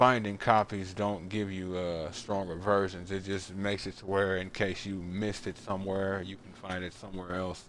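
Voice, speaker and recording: Speaking at a fairly slow pace, a man uses a very deep, low pitch and a monotone, flat intonation. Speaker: gaming streamer. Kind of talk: let's play commentary.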